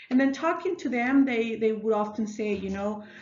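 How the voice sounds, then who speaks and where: A woman speaks with a Mexican accent and ordinary pitch variation. Audible room echo surrounds her voice. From northern Mexico, Ciudad Juarez. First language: Spanish. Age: 30s. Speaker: elementary school teacher. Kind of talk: self-narrated class reflection. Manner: hesitant, many fillers and restarts.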